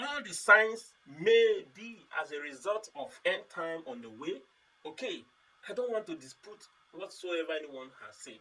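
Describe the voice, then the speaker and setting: A man's high-pitched, raised and projected voice at a fairly slow pace, with very wide pitch swings and big swings in loudness. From Nigeria. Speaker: pastor. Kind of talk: sermon.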